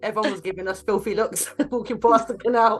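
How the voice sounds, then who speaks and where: Noticeable background noise sits behind a woman's voice. She has an East London accent and talks at a very fast pace. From East London, Hackney. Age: 40s. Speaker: rapper and singer. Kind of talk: interview.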